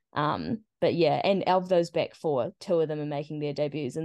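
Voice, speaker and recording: With a New Zealand accent, a woman speaks at a moderate pace in a very deep, low pitch and a dark, mellow tone over a quiet background. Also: hardly any pauses. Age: 20s. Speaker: football team captain. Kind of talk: interview.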